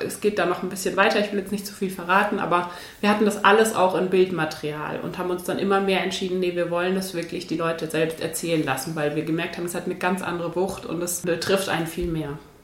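The speech runs at a very fast pace with hardly any pauses and fairly even intonation, amid noticeable background noise and audible room echo. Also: woman. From Bavaria, Munich area. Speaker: journalist and documentary filmmaker. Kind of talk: interview.

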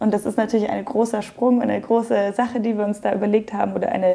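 With a plain, everyday voice, a woman talks at a fairly high pitch and with fairly even intonation. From Germany, Munich (Bavaria). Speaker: yoga teacher and studio owner. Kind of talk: interview. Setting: yoga studio.

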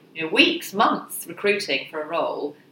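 The speaker is a woman with a fairly low pitch and ordinary pitch variation. She goes at a moderate pace over noticeable background noise. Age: 40s. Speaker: career mentor. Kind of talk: podcast interview.

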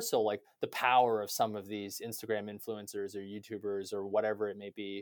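Speaking with a Canadian accent at a moderate pace, a man has a fairly low pitch in a very clean recording with a silent background. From Canada. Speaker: tech executive. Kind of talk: interview.

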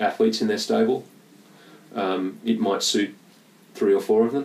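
A man speaks with an Australian accent. His pace is moderate. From Western Australia, Perth. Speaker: sports nutritionist. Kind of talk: casual chat. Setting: at home. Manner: gentle.

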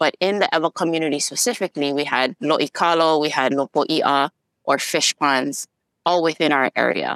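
A woman speaks with a very deep, low pitch, her loudness very even and her pitch varying in an ordinary way. The sound is dry and close, with no echo. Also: moderate pace. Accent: Hawaiian. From Hawaii. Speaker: community organizer. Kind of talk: interview.

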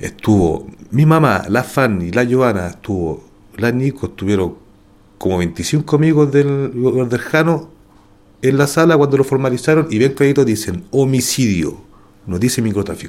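Speaking at a moderate pace with a Chilean accent, a man uses lively intonation and takes long, frequent pauses. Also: medium pitch for a man. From Santiago, Chile. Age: 40s. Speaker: wrongly accused prisoner. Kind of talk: testimony.

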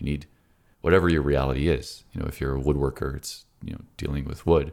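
A man speaks with a very deep, low pitch, vocal fry and fairly even intonation on a very clean recording with a silent background. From Toronto, Canada. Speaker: philosopher and productivity coach. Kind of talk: casual conversational interview. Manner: reflective, conversational.

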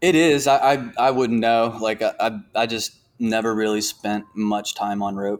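In an American accent, a man talks at a fairly slow pace with a medium pitch and ordinary pitch variation. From Virginia, Norfolk. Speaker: climbing gym director. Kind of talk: interview. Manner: halting, many fillers and repeats.

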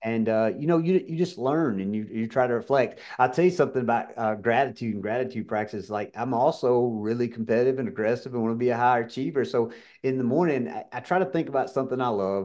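In a Southern US accent, the speaker rushes along at a very fast pace with hardly any pauses and ordinary pitch variation over a quiet background. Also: man, medium pitch for a man. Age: 50s. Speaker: pharmacy business owner and keynote speaker. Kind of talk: interview.

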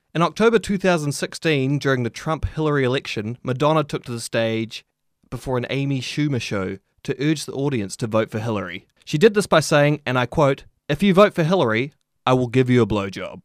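Dry and close with no echo in a very clean recording with a silent background, a man speaks fairly quickly at a fairly high pitch with lively intonation. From New Zealand. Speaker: podcast host. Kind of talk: reading aloud.

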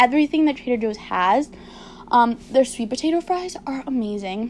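Her pitch is high for a woman, and it varies in an ordinary way. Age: 20s. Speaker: podcast host and lifestyle blogger. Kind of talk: casual solo chat.

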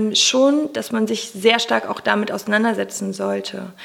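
Lively intonation in an ordinary speaking voice, at a moderate pace. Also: woman. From Germany, Cologne. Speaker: personal development coach and podcaster. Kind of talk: interview.

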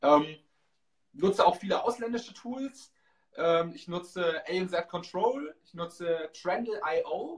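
This man's voice sits high and moves at a very slow pace. His pitch varies in an ordinary way. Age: 30s. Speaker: e-commerce entrepreneur and Amazon seller. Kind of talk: interview.

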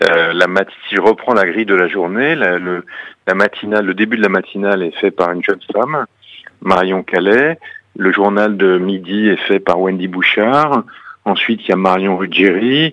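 At a moderate pace, a man speaks in an ordinary speaking voice with a fairly low pitch and ordinary pitch variation. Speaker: radio executive. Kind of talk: radio interview.

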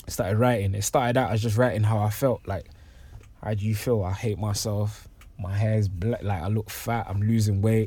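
Speaking in a London accent, a man with a fairly low pitch talks at a moderate pace, his voice somewhat breathy and his intonation fairly even. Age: 20s. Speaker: poet. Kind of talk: casual chat.

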